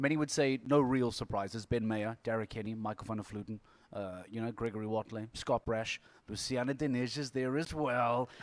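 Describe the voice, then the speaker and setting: A medium-pitched man at a fairly quick pace, in a very clean recording with a silent background. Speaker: TV anchor and podcast host. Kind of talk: casual chat. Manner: animated.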